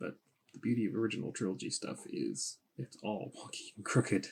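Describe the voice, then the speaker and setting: A man talks at a fairly quick pace, mumbling. His pitch is fairly low. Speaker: costume maker. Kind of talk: tutorial.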